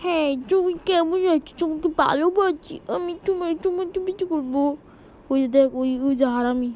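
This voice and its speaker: A woman performs a put-on character voice at an extremely high pitch. She speaks at a moderate pace over light background noise. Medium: machinima. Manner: crude, shouting.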